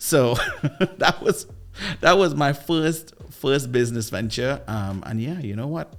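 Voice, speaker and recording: A man speaks in a Trinidadian accent. His pace is fairly slow. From Trinidad and Tobago. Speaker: sales coach and former radio DJ. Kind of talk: podcast interview. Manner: animated.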